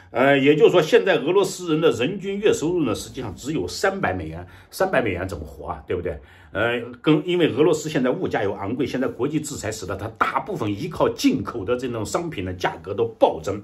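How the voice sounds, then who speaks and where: With vocal fry, a man talks at a fairly high pitch, his pitch swinging very widely. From China. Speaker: political commentator. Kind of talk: news commentary monologue. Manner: halting, many fillers. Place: home room. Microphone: webcam.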